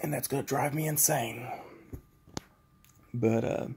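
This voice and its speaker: Soft-spoken and very slow, a man talks at a medium pitch in a dark, mellow tone with vocal fry. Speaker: vlogger recovering from surgery. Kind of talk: casual video diary. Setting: at home.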